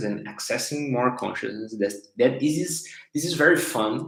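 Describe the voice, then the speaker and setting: Audible room echo surrounds a voice with a Portuguese accent and very wide pitch swings. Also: man. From Brazil. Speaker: life coach / facilitator. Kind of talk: live stream talk. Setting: livestream on social media. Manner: halting, many repetitions and fillers.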